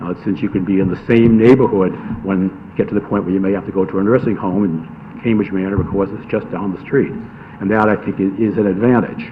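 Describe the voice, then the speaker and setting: Speaking at a very fast pace, a man keeps his fairly low pitch fairly even in intonation. Noticeable background noise is heard behind him. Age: 70s. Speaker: lawyer speaking at public hearing. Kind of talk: public comment at hearing. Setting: town public hearing. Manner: hesitant, many fillers.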